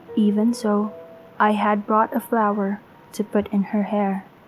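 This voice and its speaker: A woman speaks in a fairly high voice. Music plays in the background. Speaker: horror story narrator. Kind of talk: horror story narration.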